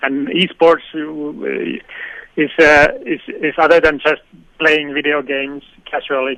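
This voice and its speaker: The speech moves at a fairly slow pace in a flat monotone. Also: man. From Finland. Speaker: esports consultant. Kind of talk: radio interview. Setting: radio studio. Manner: halting, many fillers and repetitions.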